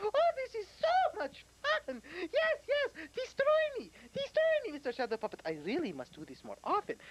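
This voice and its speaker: This cartoonish character voice has an extremely high pitch and moves at a moderate pace. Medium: puppet. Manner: smug, self-satisfied.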